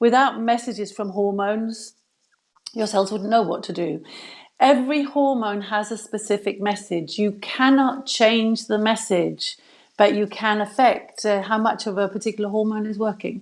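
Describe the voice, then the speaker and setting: A woman in an English accent, fairly high-pitched, at a moderate pace with fairly even intonation. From England. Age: 60s. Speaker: health expert, former physiotherapist. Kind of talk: live video interview. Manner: hesitant, many fillers.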